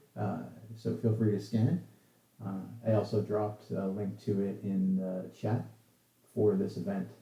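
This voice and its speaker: Slow-paced and somewhat breathy, a man speaks in a fairly low, dark, mellow voice with ordinary pitch variation and audible room echo. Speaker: software developer giving a talk. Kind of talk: casual chat with online audience; technical presentation. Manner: halting, many fillers.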